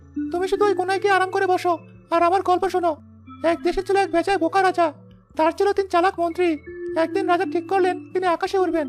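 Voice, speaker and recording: A cartoonish character voice with extremely high pitch and monotone, flat intonation races along at a very fast pace over clear music in the background. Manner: dignified, warm.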